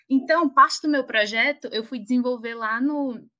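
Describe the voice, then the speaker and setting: A woman speaks in a high pitch with lively intonation. Her tone is bright and sharp. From Alagoas, northeast Brazil. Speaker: pharmacist and doctoral researcher. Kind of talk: interview.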